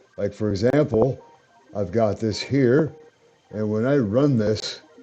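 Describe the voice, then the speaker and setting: Over music in the background, a man talks at a fairly slow pace with a medium pitch and ordinary pitch variation. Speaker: Python programming tutor. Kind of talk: casual screen-recorded coding tutorial. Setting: home microphone, modest quality. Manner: natural speaking voice, not a robot voice.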